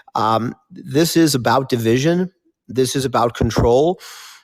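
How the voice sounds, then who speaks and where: Very slow speech from a man, with ordinary pitch variation. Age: 60s. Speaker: participant in discussion. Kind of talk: casual discussion.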